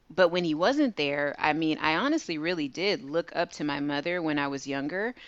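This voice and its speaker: A woman talks at a moderate pace. Her pitch is very deep and low, with ordinary variation. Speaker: guest, credit repair business owner. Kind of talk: casual interview conversation.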